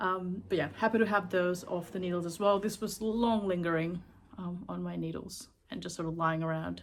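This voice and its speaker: A woman with a slight Sri Lankan accent speaks at a moderate pace and fairly low pitch with fairly even intonation, in a very clean recording with a silent background. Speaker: knitting vlogger. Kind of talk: casual chat. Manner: casual, with many fillers.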